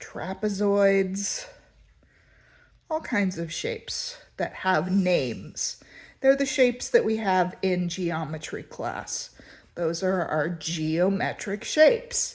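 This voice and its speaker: A woman's medium-pitched voice at a very slow pace with lively intonation, in a very clean recording with a silent background. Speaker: art teacher. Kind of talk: tutorial.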